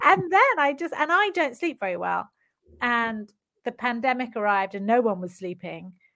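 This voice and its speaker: Speaking in a British accent, a woman with a fairly high pitch and a bright, sharp tone talks at a moderate pace with very wide pitch swings. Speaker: novelist. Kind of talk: casual interview chat. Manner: chatty, laughs often.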